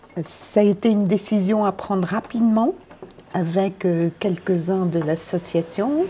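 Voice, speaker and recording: A woman's medium-pitched voice at a fairly slow pace, with very even loudness and ordinary pitch variation, amid noticeable background noise. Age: 60s. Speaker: volunteer running a community space. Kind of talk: interview.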